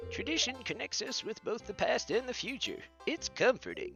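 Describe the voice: Someone performs a put-on character voice at a moderate pace, with clear music in the background. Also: man, extremely high pitch for a man.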